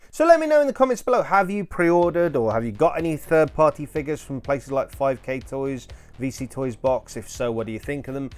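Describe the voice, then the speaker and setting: Over music in the background, a man with a fairly high pitch talks at a very fast pace with lively intonation and hardly any pauses. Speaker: toy collector youtuber. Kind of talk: casual video commentary.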